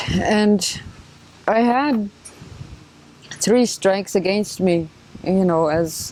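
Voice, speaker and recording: Noticeable background noise sits under the recording. A woman talks at a very slow pace. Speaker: residential school survivor. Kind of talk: testimony. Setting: filmed interview. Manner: halting.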